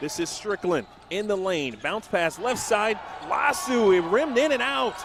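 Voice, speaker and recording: A man's high-pitched voice at a fairly slow pace, lively in intonation, with noticeable background noise. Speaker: basketball play-by-play announcer. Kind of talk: live basketball play-by-play call.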